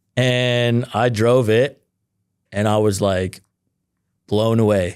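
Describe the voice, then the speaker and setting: A man at medium pitch with an American accent, very slow and very even in loudness, with fairly even intonation. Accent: American-sounding North American. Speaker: car reviewer and video creator. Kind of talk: casual interview chat. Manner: casual, filler-heavy.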